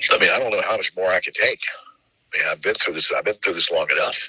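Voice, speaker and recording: A man with an extremely high pitch talks very fast in a raised, projected voice, his tone bright and sharp, his intonation fairly even, and the sound dry and close with no echo. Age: 50s. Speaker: channel owner talking about personal troubles. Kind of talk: emotional casual conversation. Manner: halting, repetitive.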